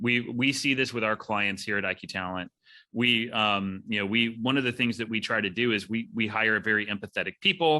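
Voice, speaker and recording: The voice is loud with a bright, sharp tone. It moves at a fairly quick pace. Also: man, medium pitch for a man, ordinary pitch variation. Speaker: podcast host, recruiting executive. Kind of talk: podcast interview.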